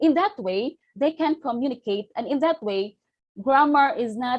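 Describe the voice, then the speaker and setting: In a Filipino accent, a woman with a high pitch and lively intonation speaks fairly slowly on a very clean recording with a silent background. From Philippines. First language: Filipino language. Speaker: teacher trainer. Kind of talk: lecture.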